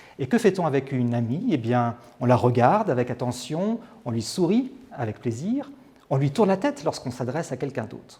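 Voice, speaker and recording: A man's medium-pitched, dark, mellow voice, somewhat breathy, with lively intonation at a fairly quick pace. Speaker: TV presenter. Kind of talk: presentation coaching tips to camera.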